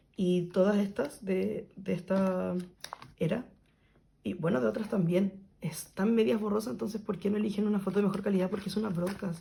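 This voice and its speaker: A woman at medium pitch, with vocal fry, a dark, mellow tone, ordinary pitch variation and a moderate pace. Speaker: kpop photocard collector youtuber. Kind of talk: casual vlog narration while organizing.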